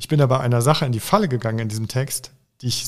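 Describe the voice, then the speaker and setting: Using a plain, everyday voice, a man speaks at a fairly quick pace and a medium pitch with ordinary pitch variation. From Germany, Oberbergischer Kreis near Cologne. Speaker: author. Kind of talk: interview conversation.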